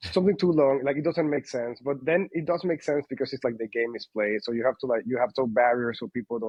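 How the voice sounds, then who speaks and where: A man with a Spanish accent speaks at a very fast pace, with hardly any pauses. His pitch is medium, with ordinary variation. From Panama. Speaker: company founder. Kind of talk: interview. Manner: halting, many fillers.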